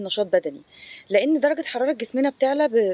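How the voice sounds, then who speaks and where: A woman's high voice at a fairly quick pace, with lively intonation and a dry sound with no echo. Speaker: fitness coach. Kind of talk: casual informative vlog talk. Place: garden. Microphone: phone near.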